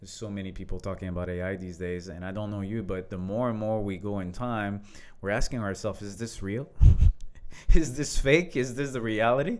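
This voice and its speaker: Big swings in loudness mark this man's speech in a French accent, delivered at a fairly quick pace with a fairly low pitch and ordinary pitch variation. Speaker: leadership coach. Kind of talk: casual conversation.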